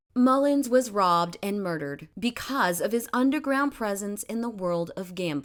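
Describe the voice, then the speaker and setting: With an ordinary speaking voice at medium pitch, a woman talks at a moderate pace with lively intonation and hardly any pauses. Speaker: TV news reporter. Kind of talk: TV news report narration.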